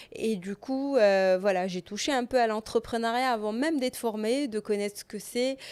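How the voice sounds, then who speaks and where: A woman with a fairly high pitch talks at a moderate pace with hardly any pauses and ordinary pitch variation. The recording is very clean, with a silent background. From Morocco, Rabat. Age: 30s. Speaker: entrepreneur. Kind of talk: podcast interview. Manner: hesitant, many fillers.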